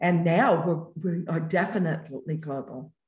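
With an American accent, the speaker sounds somewhat breathy. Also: woman. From United States. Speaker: entrepreneur. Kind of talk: interview. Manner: halting.

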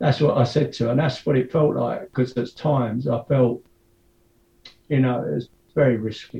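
This man's voice carries vocal fry. His pitch varies in an ordinary way. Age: 70s. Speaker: retired building foreman, long-distance walker. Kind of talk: interview. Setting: video call.

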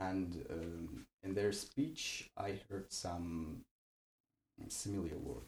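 A man with a North Ossetian accent speaks in a very deep, low, somewhat breathy voice. He goes at a very slow pace with lively intonation. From Alagir, North Ossetia, Russia. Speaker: university student. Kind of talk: interview.

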